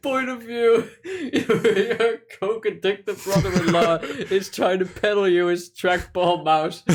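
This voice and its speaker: Speaking very slowly yet hardly pausing, a man uses a high pitch with ordinary variation. Noticeable background noise sits under his voice. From Netherlands. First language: Dutch. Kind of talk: casual gaming commentary.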